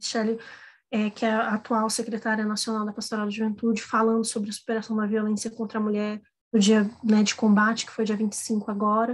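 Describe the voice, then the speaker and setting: A woman talks at a fairly quick pace in a fairly high pitch, sounding somewhat breathy. Her intonation stays monotone and flat. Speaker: workshop instructor. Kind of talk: online workshop lecture.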